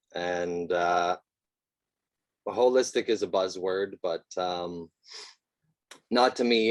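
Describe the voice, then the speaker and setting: Speaking with a Canadian accent, a man sounds shaky, with fairly even intonation and long, frequent pauses, in a dry, close sound with no echo. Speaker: eco-home designer. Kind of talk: presentation. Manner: shaky at the start.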